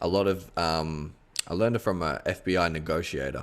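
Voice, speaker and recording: A man speaks with vocal fry in a very deep, low pitch, with ordinary pitch variation. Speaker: podcast co-host. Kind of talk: casual podcast chat.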